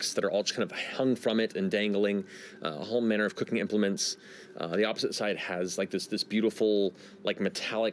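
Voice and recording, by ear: Intonation stays fairly even while a natural voice reads the text aloud.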